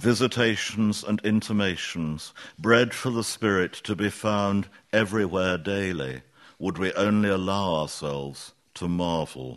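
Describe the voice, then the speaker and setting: In an ordinary speaking voice, a man talks at a fairly slow pace with a fairly low pitch and ordinary pitch variation, the background quiet. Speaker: poet. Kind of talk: poetry reading with brief spoken introductions. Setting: festival stage with audience. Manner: measured, reflective, formal.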